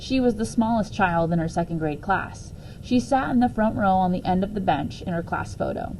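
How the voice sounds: The speaker uses a natural reading voice. The text is read aloud.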